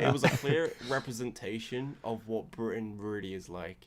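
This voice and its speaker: Delivered at a moderate pace, the speech comes over noticeable background noise. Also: man. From northern England. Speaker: YouTuber and voice actor. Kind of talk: casual chat.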